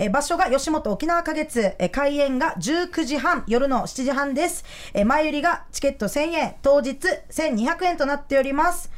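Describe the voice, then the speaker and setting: Lively intonation in a high-pitched female voice. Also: moderate pace. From Okinawa, Japan. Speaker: stand-up comedian. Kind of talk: casual chat.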